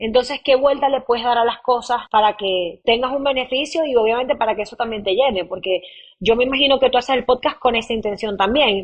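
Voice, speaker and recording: With a high-pitched voice, a woman talks fairly quickly. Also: ordinary pitch variation. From Maracaibo, Venezuela. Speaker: podcast host and audiovisual producer. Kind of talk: interview answer.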